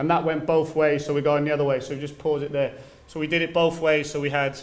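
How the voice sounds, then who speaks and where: Here a man talks. He moves at a fairly quick pace. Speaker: football coach presenter. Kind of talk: lecture. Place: classroom. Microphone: podium.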